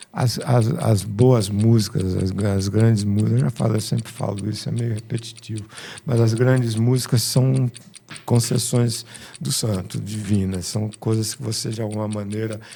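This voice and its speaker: A man talks at a moderate pace with a fairly low pitch and fairly even intonation. Noticeable background noise can be heard. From Rio de Janeiro, Brazil. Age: 70s. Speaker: musician. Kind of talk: interview.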